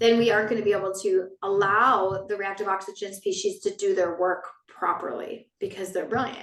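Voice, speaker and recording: A woman at medium pitch talks at a fairly quick pace with hardly any pauses. Her intonation is monotone and flat. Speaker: wellness educator. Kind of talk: online wellness talk. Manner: fast.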